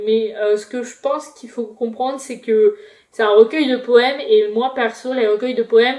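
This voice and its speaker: A woman speaks at a high pitch with ordinary pitch variation and a moderate pace. Her loudness swings widely. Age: 20s. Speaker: booktuber. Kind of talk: casual book review vlog. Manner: hesitant, many fillers.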